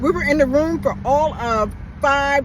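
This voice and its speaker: The speaker has an animated tone. Noticeable background noise is present. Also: man. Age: 60s. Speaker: vlogger. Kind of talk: casual monologue.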